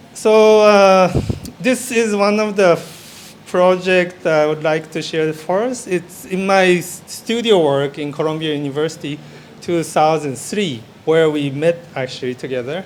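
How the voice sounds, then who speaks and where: Man with a Japanese accent, high-pitched, at a fairly slow pace with ordinary pitch variation, amid noticeable background noise and audible room echo. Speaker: architect and interior designer. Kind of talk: conference presentation. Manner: halting.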